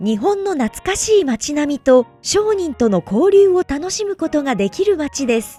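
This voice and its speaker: Music plays in the background while a woman speaks at a fairly slow pace. Her pitch swings very widely, and the sound is dry and close with no echo. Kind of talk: tourism promotional narration.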